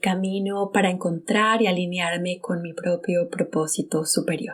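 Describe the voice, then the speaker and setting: In a Bogotá Colombian accent, a woman with a medium pitch speaks at a fairly slow pace with ordinary pitch variation. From Colombia, Bogotá. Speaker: podcast host. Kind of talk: personal storytelling monologue.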